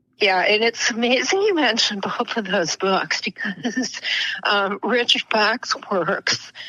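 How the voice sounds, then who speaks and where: There is noticeable background noise as a woman speaks at a very slow pace with ordinary pitch variation. Her loudness stays very even. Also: fairly high pitch for a woman. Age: 60s. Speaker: author and funeral director. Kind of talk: interview conversation.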